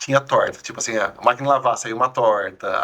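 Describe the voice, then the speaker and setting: This man's words come at a very fast pace. The background noise behind him is noticeable. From Brazil, São Carlos (São Paulo interior). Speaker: food influencer. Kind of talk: casual interview chat.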